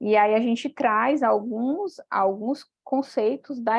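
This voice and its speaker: Fairly even intonation from a woman speaking at a fairly high pitch. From Brazil, Piauí. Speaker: doctoral student, paper presenter. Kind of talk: academic presentation. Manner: hesitant, many fillers.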